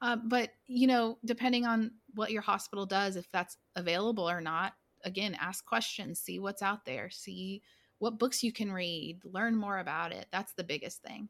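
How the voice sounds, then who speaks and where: On a very clean recording with a silent background, a woman with an American accent and a plain, everyday voice talks at a moderate pace in a medium pitch with ordinary pitch variation. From US South, southwestern Virginia (Blacksburg). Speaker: forensic nurse educator. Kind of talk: casual interview.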